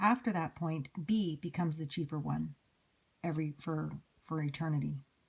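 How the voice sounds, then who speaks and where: At a moderate pace, a woman speaks with a very deep, low pitch and a somewhat breathy quality. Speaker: math teacher. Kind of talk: lecture.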